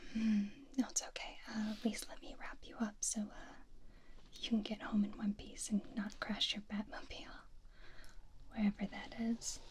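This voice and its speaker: A woman speaks at a moderate pace with fairly even intonation and a somewhat breathy voice. Light background noise is present. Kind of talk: soft-spoken role-play monologue. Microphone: studio mic.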